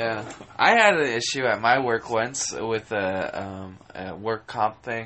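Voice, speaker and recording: At a very slow pace, a man speaks with a medium pitch and fairly even intonation. Background noise is noticeable. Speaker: podcast co-host. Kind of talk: casual chat.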